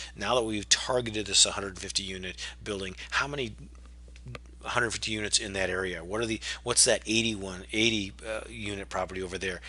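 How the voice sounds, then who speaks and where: Vocal fry marks a man's fairly low voice, which has a bright, sharp tone and moves at a fairly quick pace. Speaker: real estate investor. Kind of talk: webinar presentation. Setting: webinar. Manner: fast.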